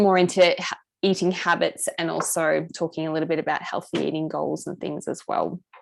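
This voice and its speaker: Talking at a fairly quick pace against a quiet background, a woman speaks with an Australian accent. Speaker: nutritionist running a health program. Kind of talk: online group session presentation. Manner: fast.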